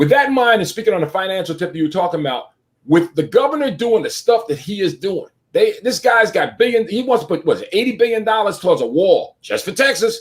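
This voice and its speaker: A man talks at a very fast pace with lively intonation. His voice is high. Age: 60s. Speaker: talk show host. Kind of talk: live online talk show.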